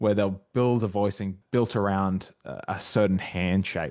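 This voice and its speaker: Speech comes at a moderate pace with an Australian accent and ordinary pitch variation. The background is quiet. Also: man. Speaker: jazz arranger and arranging tutor. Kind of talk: casual chat and tutorial.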